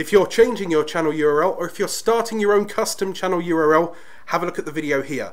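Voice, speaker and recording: A man speaks with a British accent and lively intonation. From Britain. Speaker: YouTube tips creator. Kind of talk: tutorial. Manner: energetic.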